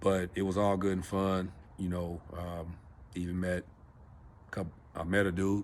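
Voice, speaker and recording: In an American accent, a man speaks in a monotone with flat intonation at a very deep, low pitch. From Los Angeles, California. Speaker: vlogger. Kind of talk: personal storytelling vlog. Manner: casual, halting with fillers.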